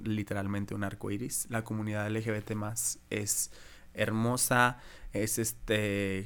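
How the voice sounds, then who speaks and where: A man at a very slow pace with a Mexican accent and monotone, flat intonation, in a very clean recording with a silent background. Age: 20s. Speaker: drag queen. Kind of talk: casual interview, personal story.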